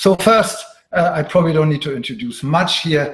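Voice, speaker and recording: Lively intonation with a German accent, at a moderate pace. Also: man. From Germany. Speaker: professor. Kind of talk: lecture. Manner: frequent filler sounds, uh.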